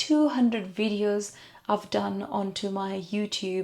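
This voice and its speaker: A speaker with a non-native accent and a dark, mellow tone. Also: woman. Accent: unique non-native English. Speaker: beauty vlogger. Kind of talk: makeup tutorial; casual chat.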